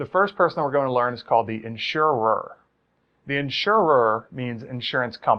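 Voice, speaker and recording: A man's medium-pitched voice with lively intonation and an American accent. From Maryland. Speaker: insurance instructor. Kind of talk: lecture. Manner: fast.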